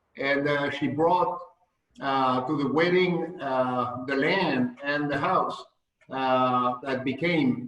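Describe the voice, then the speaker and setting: Audible room echo surrounds a man whose fairly high pitch moves with fairly even intonation. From France. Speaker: winemaker, estate owner. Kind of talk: interview, wine tasting talk. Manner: halting, many fillers.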